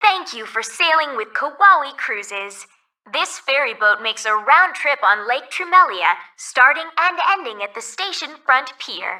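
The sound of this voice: In a put-on character voice, a woman talks at a fairly slow pace with a high pitch, big pitch swings and a bright, sharp tone.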